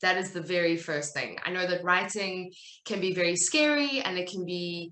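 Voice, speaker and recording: A woman with a South African accent, a medium pitch and a bright, sharp tone, amid audible room echo. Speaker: writer and content business owner. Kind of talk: talk at a virtual summit.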